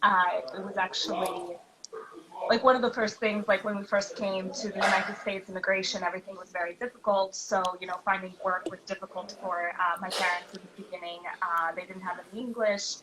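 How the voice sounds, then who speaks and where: A woman at medium pitch in a Philadelphia accent, fairly quick pace, fairly even intonation and big swings in loudness, with noticeable background noise. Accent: American, Philadelphia. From Philadelphia, US (born in Kyiv, Ukraine). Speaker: dancer and clinical supervisor. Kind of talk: interview conversation.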